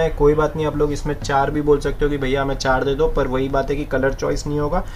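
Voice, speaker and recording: A man talks at a fairly quick pace with monotone, flat intonation over light background noise. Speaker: saree seller. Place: shop.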